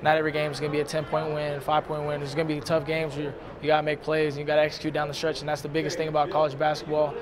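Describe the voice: A man's fairly high-pitched, monotone, flat delivery at a very fast pace with few pauses, over clear background noise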